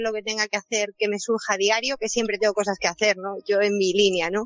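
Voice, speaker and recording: A woman talks at a fairly quick pace. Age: 40s. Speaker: course participant. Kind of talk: personal testimony.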